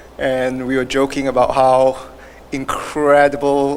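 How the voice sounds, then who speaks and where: A man's medium-pitched voice competes with noticeable background noise. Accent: Singaporean. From Singapore. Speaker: award winner, health industry professional. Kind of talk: acceptance speech.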